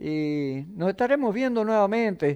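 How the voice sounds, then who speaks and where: The speaker has an Entre Ríos accent and a dark, mellow tone. The recording is very clean, with a silent background. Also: man. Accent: rural Entre Ríos Argentine. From Argentina, Entre Ríos. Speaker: rural TV program host. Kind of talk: program sign-off, reading viewer messages. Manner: folksy, hesitant fillers.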